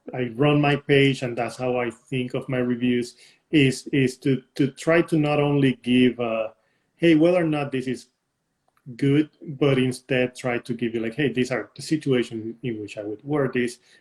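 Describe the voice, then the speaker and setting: At a moderate pace, a man with a Puerto Rican accent speaks at a medium pitch with fairly even intonation. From Puerto Rico. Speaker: fragrance reviewer and influencer. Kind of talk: interview answers. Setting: live stream. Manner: halting, with fillers.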